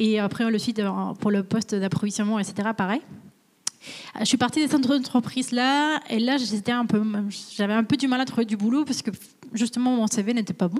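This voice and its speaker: A somewhat breathy woman with a fairly high pitch, very even loudness and a fairly quick pace, broken by long, frequent pauses. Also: ordinary pitch variation. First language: Spanish (speaking French). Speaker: supply chain manager. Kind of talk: career interview on webinar. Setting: company visit, webinar. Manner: hesitant, many fillers.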